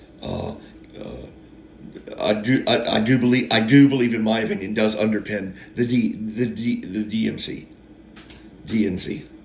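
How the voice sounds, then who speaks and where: Amid audible room echo and noticeable background noise, a man with a medium pitch speaks at a moderate pace. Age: 50s. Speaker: YouTube storyteller. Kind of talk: casual monologue. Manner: halting.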